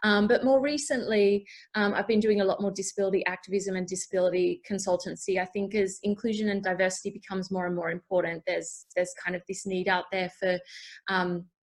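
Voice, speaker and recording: Very fast speech with fairly even intonation. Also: woman, medium pitch for a woman. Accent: Australian. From Australia. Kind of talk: panel introduction, casual. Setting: video call.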